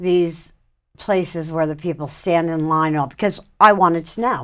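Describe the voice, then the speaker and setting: The very clean recording has a silent background. A woman's voice comes through at a fairly low pitch. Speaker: bereaved mother and addiction awareness advocate. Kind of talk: interview testimony.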